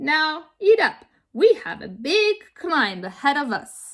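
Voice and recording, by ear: Putting on a character voice, a woman speaks slowly in a high pitch with big pitch swings and a fairly bright tone.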